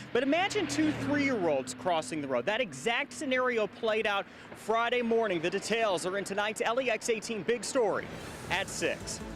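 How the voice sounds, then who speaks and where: A high-pitched man's voice swings very widely in pitch while staying very even in loudness, with noticeable background noise. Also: moderate pace. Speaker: TV news reporter. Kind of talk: live TV news stand-up.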